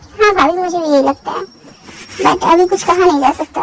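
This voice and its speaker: Using a put-on character voice, a woman squeaks at an extremely high pitch and a fairly quick pace, recorded with a dry, close sound and no echo. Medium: read story. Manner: soft, hesitant.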